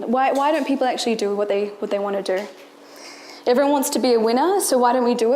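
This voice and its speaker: A woman with an Australian accent speaks high in pitch with lively intonation, amid audible room echo and noticeable background noise. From rural New South Wales, Australia. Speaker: entrepreneur and marketing manager. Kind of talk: motivational talk. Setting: stage with audience.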